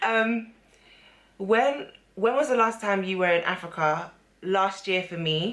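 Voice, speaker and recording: A woman with a London accent and a medium pitch speaks at a fairly slow pace with ordinary pitch variation and long, frequent pauses, and audible room echo. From London, England, Ghanaian family. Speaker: beauty and lifestyle vlogger. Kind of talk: casual chat.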